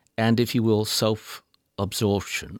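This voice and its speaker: A man's medium-pitched voice in an English accent, with vocal fry, in a dry, close sound with no echo and a very clean recording with a silent background. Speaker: public radio talk show host. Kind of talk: interview. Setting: studio. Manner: formal.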